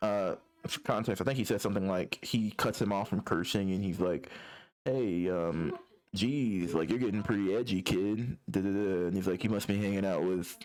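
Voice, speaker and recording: Fairly low in pitch with ordinary pitch variation, a man talks at a fairly quick pace. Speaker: comic artist, YouTuber. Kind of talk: casual walkthrough. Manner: fast; casual, filler-heavy.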